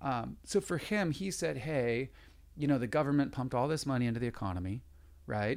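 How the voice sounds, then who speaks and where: Using very wide pitch swings, a man with an American accent talks at a fairly quick pace. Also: medium pitch for a man. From San Diego, California. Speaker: real estate agent. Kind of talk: interview.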